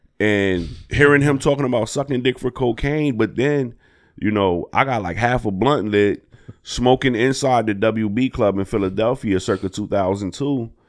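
A man with an American accent speaks in a plain, everyday voice at medium pitch and a moderate pace, with ordinary pitch variation over a quiet background. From Harrisburg, Pennsylvania. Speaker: comedian. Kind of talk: casual chat.

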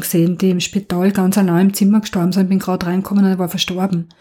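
This voice has a dark, mellow tone and is somewhat breathy. It moves at a very fast pace with monotone, flat intonation. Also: woman, hardly any pauses, very even loudness. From Austria, Burgenland. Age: 50s. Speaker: nurse. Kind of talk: interview.

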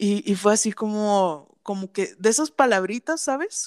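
A woman's plain, everyday voice, fairly high in pitch, with lively intonation and a fairly slow pace, in a dry, close sound with no echo. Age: 20s. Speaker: podcast co-host. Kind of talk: casual chat.

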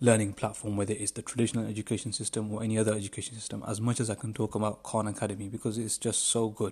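Very fast and enthusiastic, a man speaks at a fairly low pitch with a somewhat breathy sound. The recording is very clean, its background silent. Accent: British. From United Kingdom. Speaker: podcast host. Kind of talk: solo podcast monologue. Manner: halting, many fillers and repetitions.

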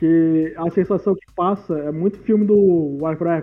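A man is speaking. His pace is fairly slow. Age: 20s. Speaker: podcast host. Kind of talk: casual chat.

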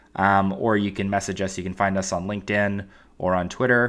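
A man's normal speaking voice, fairly low in pitch, at a moderate pace on a very clean recording with a silent background. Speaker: finance podcast host and mock interviewer. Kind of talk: mock job interview.

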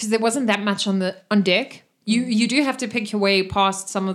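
A passage is given as plain reading aloud, with quiet behind it.

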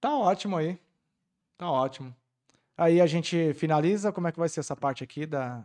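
On a very clean recording with a silent background, a high-pitched man speaks at a moderate pace with ordinary pitch variation and long, frequent pauses. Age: 30s. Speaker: podcast host. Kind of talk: casual chat.

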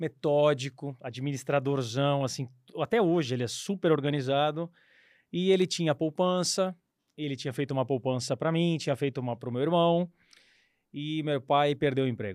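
A man speaks in a plain, everyday voice at a fairly high pitch and moderate pace. The recording is very clean with a silent background and a dry, close sound with no echo. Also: ordinary pitch variation. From São Paulo state, Brazil (São Bernardo do Campo). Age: 40s. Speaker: former airline pilot and investment advisor. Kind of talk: casual interview.

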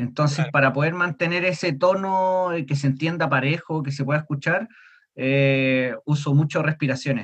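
This man has a fairly high pitch and a somewhat breathy voice, talking at a moderate pace with fairly even intonation. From Chile. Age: 30s. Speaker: death metal vocalist. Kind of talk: casual interview.

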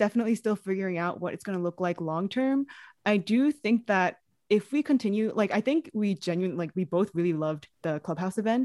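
A normal speaking voice with lively intonation at a fairly quick pace, dry and close with no echo, on a very clean recording with a silent background. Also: woman. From New York City. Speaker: podcast co-host, curriculum developer. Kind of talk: casual interview.

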